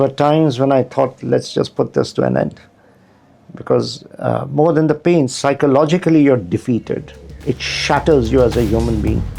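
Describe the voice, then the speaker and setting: A man speaks at a moderate pace with very even loudness over noticeable background noise. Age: 60s. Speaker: fashion model and actor. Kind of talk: interview answer.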